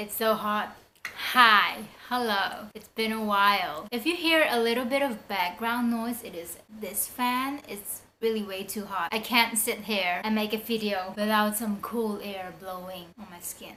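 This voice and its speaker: A woman with a southern Chinese accent speaks at a fairly slow pace in a fairly high pitch, her loudness swinging widely while her pitch varies in an ordinary way. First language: Hakka. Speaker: language vlogger. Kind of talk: casual tutorial.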